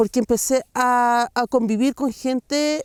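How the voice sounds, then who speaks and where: In a dry, close recording with no echo, a very clean take over a silent background, a woman speaks at a fairly slow pace with a Chilean accent, her pitch high and its variation ordinary. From Chile, San Pedro de Atacama. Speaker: intercultural educator and artisan. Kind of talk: interview answer.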